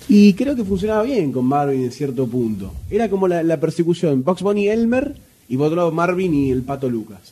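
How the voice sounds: A man talks at a fairly quick pace with few pauses, his fairly high pitch taking big swings over a dark, mellow tone with a slightly husky edge.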